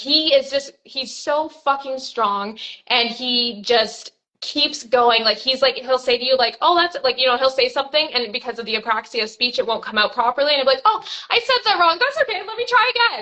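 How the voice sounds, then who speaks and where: A woman speaks loudly in a high voice at a moderate pace. Her intonation is lively. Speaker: money coach. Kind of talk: live stream interview.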